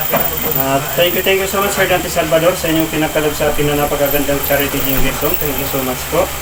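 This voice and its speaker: Speech comes at a very fast pace with hardly any pauses against noticeable background noise. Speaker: YouTube vlogger giving charity haircuts. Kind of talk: casual vlog narration.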